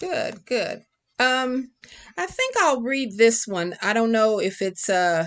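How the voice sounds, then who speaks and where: Against a quiet background, a woman talks at a very slow pace in a fairly high pitch with lively intonation. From Kentucky, rural south central (Casey County). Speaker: poet and creative writing professor. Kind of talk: poetry reading; interview conversation.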